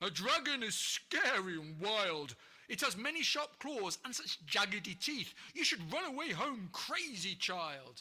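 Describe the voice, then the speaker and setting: A man's put-on character voice, high-pitched with very wide pitch swings, at a moderate pace. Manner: frightened.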